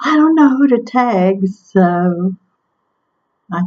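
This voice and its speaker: Her intonation lively, a woman speaks at a medium pitch in a somewhat breathy voice. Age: 60s. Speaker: vlogger sharing weight-loss surgery journey. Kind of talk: casual vlog monologue. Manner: hesitant, with frequent ums.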